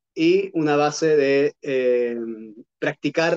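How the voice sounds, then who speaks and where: A man with a fairly high pitch. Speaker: Gestalt therapist and trainer. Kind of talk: lecture. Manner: hesitant, many fillers.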